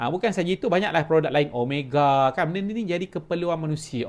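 A man talks very fast in a Malaysian accent, his pitch high with ordinary variation. The recording is very clean, with a silent background. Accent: Malaysian Malay. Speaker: online business coach. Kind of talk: sales pitch. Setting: home office.

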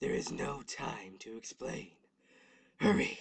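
A raspy, put-on character voice sits at a low-to-middle pitch and moves at a very slow pace. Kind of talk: fan comic dub voice acting. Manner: solemn, urgent, grave.

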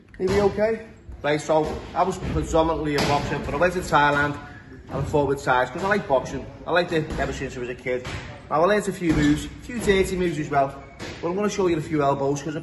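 A man talks very fast with ordinary pitch variation over noticeable background noise. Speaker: boxing coach. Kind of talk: tutorial. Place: gym.

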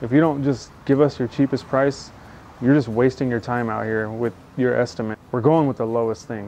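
Light background noise accompanies speech delivered at a moderate pace. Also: man. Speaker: carpentry contractor. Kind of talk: casual vlog chat. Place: street. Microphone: lapel.

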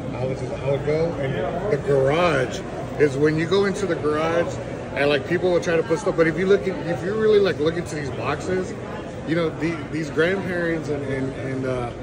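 The speech moves at a moderate pace with ordinary pitch variation. Loud background noise sits behind it. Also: man. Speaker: toy vendor or collector. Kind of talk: interview answer. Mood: friendly, animated storytelling. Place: hall. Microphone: phone near.

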